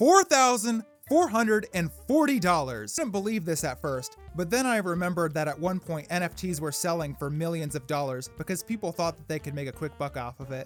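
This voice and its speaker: With music in the background, a man with a high pitch speaks fairly quickly and with lively intonation. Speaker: comedic history narrator. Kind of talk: comedic history narration. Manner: sarcastic, irreverent.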